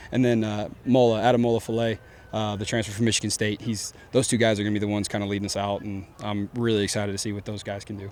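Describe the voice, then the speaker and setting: A man's very fast, flat, monotone delivery at a fairly low pitch, with a Texan accent. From Deep East Texas. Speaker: college football coach. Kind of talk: press conference. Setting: press conference with media. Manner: casual, many fillers.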